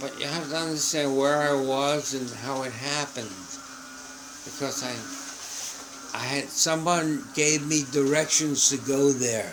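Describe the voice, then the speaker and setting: A man speaks at a fairly high pitch and fairly slow pace, flat and monotone, with long, frequent pauses. Audible room echo and noticeable background noise fill the recording. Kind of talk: casual chat. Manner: halting.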